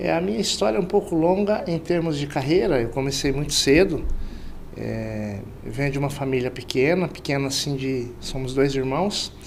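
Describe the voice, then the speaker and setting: A man with a fairly high pitch speaks at a moderate pace with lively intonation, and the room echo is audible. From Central-West Brazil, Mato Grosso. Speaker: sales director. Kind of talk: interview.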